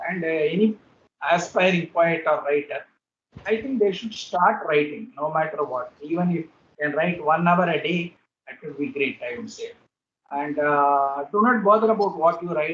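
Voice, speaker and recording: A man speaks in a Tamil accent at a high pitch and a moderate pace. His loudness swings widely. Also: ordinary pitch variation. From India, Hyderabad. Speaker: poet. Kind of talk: interview. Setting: video call. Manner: halting.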